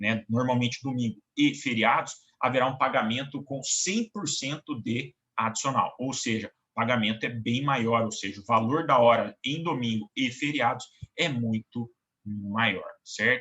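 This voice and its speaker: Here a man speaks in an unremarkable speaking voice at a medium pitch. His pace is fairly slow, and his pitch varies in an ordinary way. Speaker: law professor. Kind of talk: lecture. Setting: online class recording.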